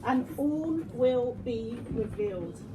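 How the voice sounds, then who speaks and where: A loud woman's voice, with audible room echo and noticeable background noise. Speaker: networking speaker. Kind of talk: live presentation to audience. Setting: event room with live audience. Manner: animated.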